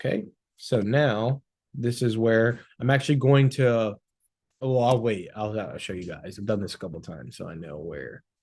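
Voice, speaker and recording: An unremarkable speaking voice at a moderate pace, with lively intonation and big swings in loudness against a quiet background. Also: man, medium pitch for a man. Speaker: social media agency owner. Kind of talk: tutorial. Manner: casual.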